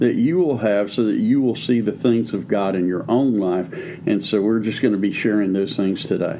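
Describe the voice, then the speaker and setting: A man speaks at a moderate pace in a fairly low, dark, mellow voice with ordinary pitch variation. His loudness stays very even throughout. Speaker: pastor and podcast co-host. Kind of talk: preaching-style teaching conversation.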